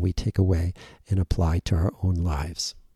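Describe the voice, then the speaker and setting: Very deep and low, a man's dark, mellow, somewhat breathy voice comes with an American accent at a moderate pace. The sound is dry and close with no echo, on a very clean recording with a silent background. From US Northeast (Western Massachusetts), partly Germany. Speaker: psychiatrist, podcast host. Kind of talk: solo podcast monologue. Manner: hesitant, with fillers and repeats.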